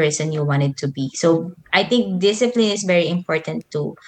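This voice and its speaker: Speaking at a fairly slow pace, a woman with a Filipino accent has a fairly low pitch. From Philippines, Manila. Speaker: YouTuber and motivational speaker. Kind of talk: casual interview chat.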